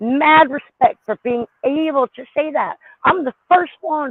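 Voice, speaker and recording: A woman speaks in an animated tone. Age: 40s. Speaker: live stream panel host. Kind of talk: casual panel discussion.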